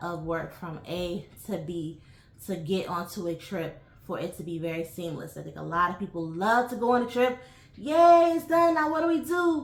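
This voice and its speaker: With an American accent, a woman speaks at a moderate pace and a fairly low pitch, using ordinary pitch variation, with audible room echo. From New York (Bronx) and Hershey, Pennsylvania. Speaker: travel vlogger. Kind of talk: casual vlog monologue. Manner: hesitant, many fillers.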